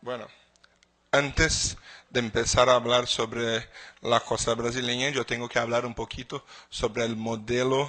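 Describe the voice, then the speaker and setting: Fairly slow, monotone speech with flat intonation, a bright, sharp tone and a Portuguese accent. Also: man. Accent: Portuguese-accented Spanish (portuñol). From Brazil. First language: Portuguese (speaking Spanish). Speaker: legal expert speaker. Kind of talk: conference lecture. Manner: halting with repetitions.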